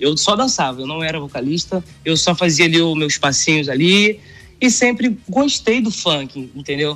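Music plays in the background as a man talks at a moderate pace. His pitch is fairly high, and his intonation is lively. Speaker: funk singer. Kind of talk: casual interview. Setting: remote video call.

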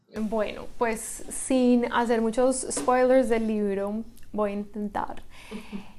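Her intonation stays fairly even as this woman talks in a fairly high pitch. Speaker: writer and lawyer. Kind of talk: interview. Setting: in-person studio.

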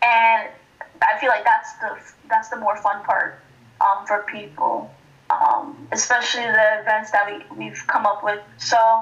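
A woman's fairly high, plain, everyday voice, with fairly even intonation at a fairly slow pace. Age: 20s. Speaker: college student and nonprofit founder. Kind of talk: casual interview chat.

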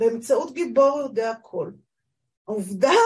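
A woman talks at a fairly slow pace. Her pitch is high and her intonation lively. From northern Israel, kibbutz. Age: 60s. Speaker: literary critic. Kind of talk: casual conversation.

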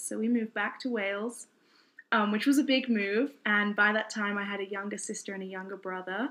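Fairly even intonation from a woman with fairly high pitch. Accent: British. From southeast England, Kent. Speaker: bible college student, nonprofit founder. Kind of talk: testimony.

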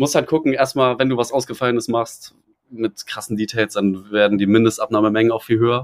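In a plain, everyday voice, a man talks at a fairly quick pace and medium pitch with ordinary pitch variation. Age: 20s. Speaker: fashion brand founder. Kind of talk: casual chat. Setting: outdoors on a balcony.

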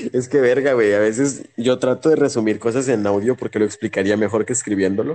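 A man speaks in a normal speaking voice at a medium pitch and a fairly quick pace, with hardly any pauses. His intonation is fairly even and his loudness very even. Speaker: podcast co-host. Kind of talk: casual chat.

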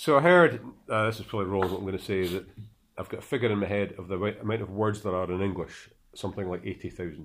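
A man with a Scottish accent speaks at a very fast pace. He takes long, frequent pauses. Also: very clean recording, silent background. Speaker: podcast host. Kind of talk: casual chat.

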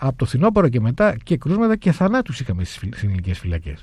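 A man's fairly high, somewhat breathy voice, dark and mellow in tone, with very wide pitch swings and a fairly quick pace. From Crete, Heraklion. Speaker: lawyer, human rights organisation president. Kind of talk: radio interview.

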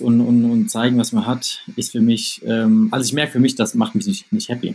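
Speaking at a fairly quick pace, a man uses a medium pitch that swings very widely. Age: 20s. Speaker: startup founder. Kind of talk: interview. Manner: hesitant, many fillers.

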